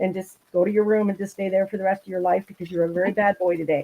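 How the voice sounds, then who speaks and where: A woman speaks with an Ontario accent. She talks at a very fast pace. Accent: Canadian (Ontario). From Southern Ontario, Canada. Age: 60s. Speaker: angling club representative. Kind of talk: casual chat.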